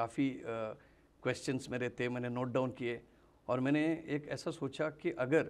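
His intonation stays fairly even. The man speaks at a fairly slow pace. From Mangalore, Karnataka; Karnataka, India. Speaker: direct selling trainer. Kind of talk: interview. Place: studio. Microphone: lapel.

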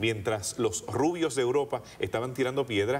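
This is a man speaking. His pitch shows ordinary variation. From Puerto Rico, rural countryside. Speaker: archaeologist and seminary professor; guest. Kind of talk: interview. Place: studio. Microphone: lapel.

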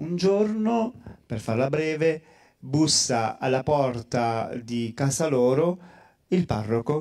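A man with a fairly high pitch and a dark, mellow tone speaks at a very slow pace with lively intonation and long, frequent pauses against a quiet background. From Calabria, Italy. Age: 40s. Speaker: priest; priest guest speaker. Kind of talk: testimony. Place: hall. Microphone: handheld.

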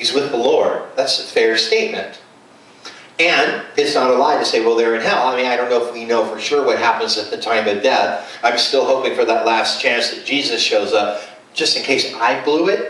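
A man talks at a moderate pace, and audible room echo can be heard. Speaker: preacher. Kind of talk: sermon. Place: home room.

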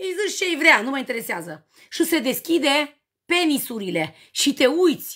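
Against a quiet background, a woman raises and projects her voice with a bright, sharp tone. She sounds animated, with lively intonation at a fairly slow pace. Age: 40s. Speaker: livestreamer selling cosmetics. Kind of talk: live stream chat with viewers. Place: home room. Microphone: phone near.

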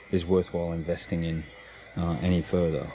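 Over light background noise, a man talks at a very deep, low pitch with fairly even intonation, the sound dry with no echo. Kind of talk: tutorial. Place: boat. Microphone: phone near.

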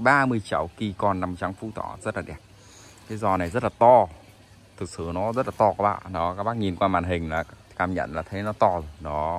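A man's very deep, low voice with ordinary pitch variation and a dry sound with no echo. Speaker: orchid seller. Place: garden. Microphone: phone near.

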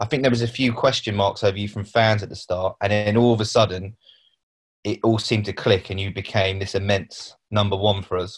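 This man's voice is fairly low and somewhat breathy, with a flat, monotone delivery. The background is quiet. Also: fairly quick pace. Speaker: club media interviewer. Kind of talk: interview. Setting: video call. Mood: relaxed, reminiscing. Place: home room. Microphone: video call.

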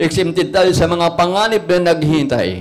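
A man talks at a moderate pace. His tone is animated. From Philippines. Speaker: preacher. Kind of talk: sermon. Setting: church. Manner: animated, call-and-response, repeatedly asking 'Amen?' and urging applause; earnest, exhortative, plain-spoken. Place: church. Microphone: handheld.

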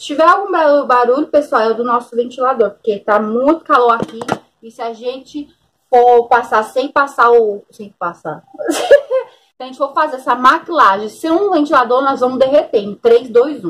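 At a moderate pace, a woman speaks at a high pitch with lively intonation. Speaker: makeup vlogger. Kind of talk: casual vlog chat. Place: home room.

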